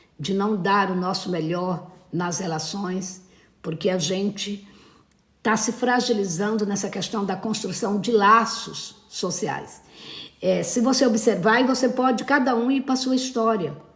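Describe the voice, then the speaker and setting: In a room with audible echo, a woman speaks at a medium pitch and fairly slow pace with ordinary pitch variation. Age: 60s. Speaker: therapist. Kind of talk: live stream talk. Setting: live stream. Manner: hesitant, many fillers.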